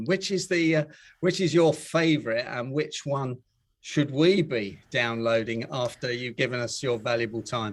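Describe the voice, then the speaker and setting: Speaking at a moderate pace with lively intonation, a man has an unremarkable speaking voice of medium pitch. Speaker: interview host. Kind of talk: live online interview hosting.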